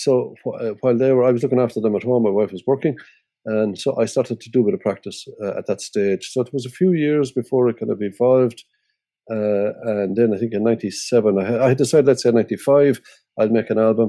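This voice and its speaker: A man with an Irish accent, a dark, mellow tone and medium pitch, talking at a very fast pace with ordinary pitch variation. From Ireland. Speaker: musician and radio presenter. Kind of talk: interview. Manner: halting.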